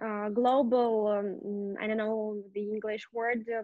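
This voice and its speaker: A woman speaks at a very slow pace in a fairly high pitch. Her intonation is monotone and flat. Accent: Russian. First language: Russian. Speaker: English student. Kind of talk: language lesson. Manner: halting, many fillers.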